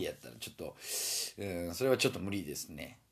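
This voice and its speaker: Speaking very fast, a man comes through on a very clean recording with a silent background. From Osaka, Japan. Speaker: podcaster. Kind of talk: casual solo talk.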